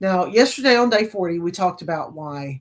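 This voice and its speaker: A very clean recording with a silent background captures a woman. Her voice sits at a medium pitch. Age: 50s. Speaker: health and mindset vlogger. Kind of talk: motivational talk to camera. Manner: animated.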